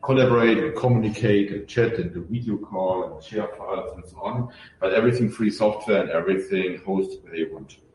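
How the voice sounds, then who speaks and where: Over noticeable background noise, a man talks at a fairly quick pace with a German accent. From Germany. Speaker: open source software founder. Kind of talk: podcast interview. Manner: hesitant, many fillers.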